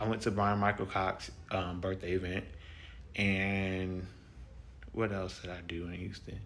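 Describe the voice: A man talks at a low pitch. His tone is fairly bright.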